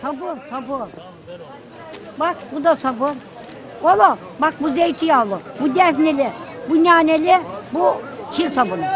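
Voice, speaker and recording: A woman with a high voice talks very slowly, leaving long, frequent pauses. The sound is dry with no echo, and a crowd can be heard in the background. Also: ordinary pitch variation. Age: 70s. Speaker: market vendor. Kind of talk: street interview answer. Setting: outdoors. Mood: warm, cheerful, affectionate. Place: market. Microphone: phone near.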